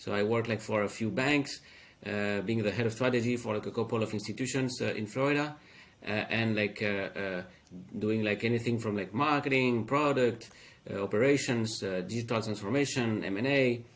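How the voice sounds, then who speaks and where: Speaking with a French accent, a man keeps a medium pitch and fairly even intonation. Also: fairly quick pace. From France. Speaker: fintech founder. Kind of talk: interview. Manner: halting, many fillers.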